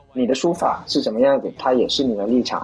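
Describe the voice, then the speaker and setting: A man speaks very fast at a medium pitch, his intonation fairly even, with noticeable background noise. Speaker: stand-up comedian. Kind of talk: casual chat.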